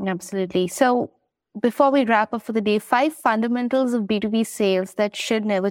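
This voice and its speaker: On a very clean recording with a silent background, a woman speaks in an ordinary speaking voice at a moderate pace, with ordinary pitch variation and a dry, close sound with no echo. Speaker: podcast host. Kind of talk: interview.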